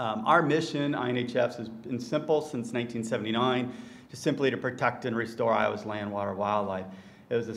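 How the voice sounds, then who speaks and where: The speaker is a man. He goes at a moderate pace. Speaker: land trust conservationist; conference presenter. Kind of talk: conference presentation. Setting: stage with audience. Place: hall. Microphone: lapel.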